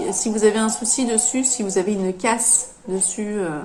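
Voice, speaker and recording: A woman talks at a moderate pace in a fairly high pitch, her intonation fairly even, with noticeable background noise behind her. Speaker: knitting podcaster. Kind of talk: casual podcast monologue. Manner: halting, many hesitations.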